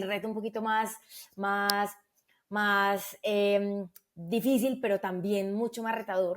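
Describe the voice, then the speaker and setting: A woman speaks at a medium pitch and a fairly slow pace with a Medellín accent, her intonation fairly even, on a very clean recording with a silent background. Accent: paisa (Medellín) Spanish. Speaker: customer experience executive. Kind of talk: podcast interview.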